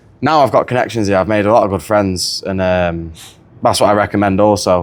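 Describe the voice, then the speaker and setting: This man has a northern English accent. His pitch is fairly low and his intonation fairly even. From northern England, near Manchester. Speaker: wrestling camp attendee. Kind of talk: casual chat. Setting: podcast recording.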